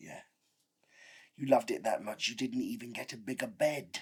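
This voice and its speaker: A man uses a raspy put-on character voice at a medium pitch, speaking at a moderate pace with big swings in loudness. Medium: short film. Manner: sarcastic, aggrieved.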